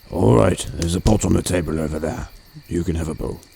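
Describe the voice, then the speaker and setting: A man's put-on character voice, very deep and low in pitch, with lively intonation at a very fast pace. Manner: gruff, stern.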